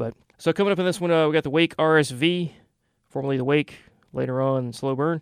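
Speaking at a fairly quick pace with fairly even intonation, a man in a plain, everyday voice is heard on a very clean recording with a silent background. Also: dry, close sound with no echo. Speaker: goth radio host. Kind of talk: radio show hosting. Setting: radio studio broadcast. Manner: casual, relaxed, with frequent filler words.

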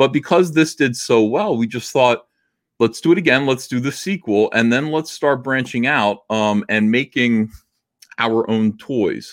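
An ordinary speaking voice, a man at a medium pitch with ordinary pitch variation. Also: fairly slow pace. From New Jersey. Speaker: comic book artist and publisher. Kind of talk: casual interview.

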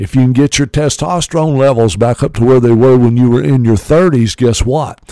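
In a Southern US accent, a man speaks at a medium pitch and a moderate pace, with ordinary pitch variation, a dark, mellow tone and a dry, close sound with no echo. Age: 60s. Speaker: radio host. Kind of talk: radio show talk about supplements. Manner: informal, filler-heavy, promotional.

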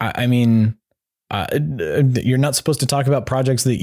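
A man with an ordinary speaking voice at medium pitch and a moderate pace, on a very clean recording with a silent background. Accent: American. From Colorado. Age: 40s. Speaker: fan content creator and documentary producer. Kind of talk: casual chat.

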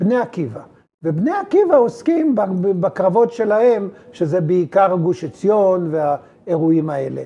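Fairly slow and high-pitched, a man speaks with lively intonation. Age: 80s+. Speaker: military historian. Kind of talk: interview. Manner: halting.

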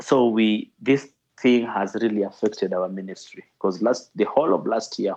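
With a fairly low pitch and a dark, mellow tone, a man speaks at a moderate pace. The background is quiet. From Kenya, Nairobi (Kibera). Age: 30s. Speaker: ministry director. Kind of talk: interview testimony. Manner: halting, with many repetitions.

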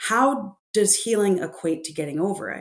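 In a very clean recording with a silent background, a woman with an American accent talks at a fairly slow pace in an ordinary speaking voice with ordinary pitch variation. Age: 40s. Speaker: author and grief expert. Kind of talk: interview conversation.

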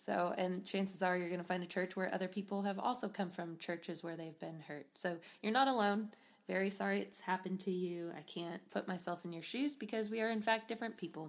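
On a very clean recording with a silent background, a woman of medium pitch talks in a plain, everyday voice at a fairly quick pace with ordinary pitch variation. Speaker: podcast co-host. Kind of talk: casual chat.

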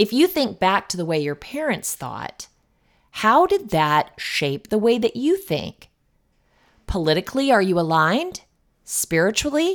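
Pitched fairly high, a woman talks at a fairly slow pace with very wide pitch swings in a very clean recording with a silent background. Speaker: life coach podcast host. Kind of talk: scripted monologue podcast. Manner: talkative.

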